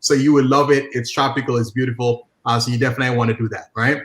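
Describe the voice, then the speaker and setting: A man speaks with an Antiguan accent. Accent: Antiguan Caribbean. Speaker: social media marketing coach. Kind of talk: interview. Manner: animated.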